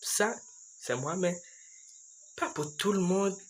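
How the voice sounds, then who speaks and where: A man talks at a fairly slow pace in a high pitch. Room echo is audible. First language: English (speaking French). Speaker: YouTuber. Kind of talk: casual vlog monologue. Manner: slow, halting.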